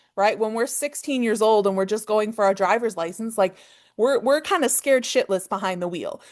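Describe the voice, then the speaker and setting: With a Canadian accent, a woman speaks in a fairly high pitch with ordinary pitch variation. The background is quiet. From Canada. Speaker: forex trading teacher. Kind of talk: online class. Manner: fast.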